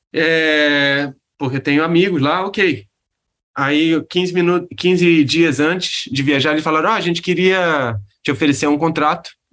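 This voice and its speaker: A man talks at a fairly slow pace in a bright, sharp tone, with a fairly high pitch and ordinary pitch variation. The recording is very clean, with a silent background. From Rio de Janeiro, Brazil. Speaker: architect and urban planner. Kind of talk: casual interview. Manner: halting, many fillers.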